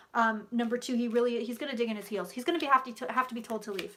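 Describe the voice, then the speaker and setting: This woman has a fairly high pitch and a bright, sharp tone. Her intonation stays fairly even. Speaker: psychic. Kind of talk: live stream tarot reading. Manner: fast.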